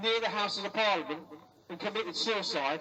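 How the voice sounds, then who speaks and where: In a raised, projected voice, a man speaks at a fairly quick pace over noticeable background noise. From London. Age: 60s. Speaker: care abuse survivor. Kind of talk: protest speech.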